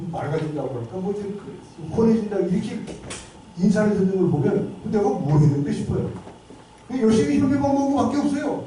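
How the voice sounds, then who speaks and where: The delivery is animated and fairly quick, yet marked by long, frequent pauses. Noticeable background noise runs underneath. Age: 70s. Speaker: lecturer, lawyer and health campaigner. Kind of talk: lecture. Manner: animated, conversational.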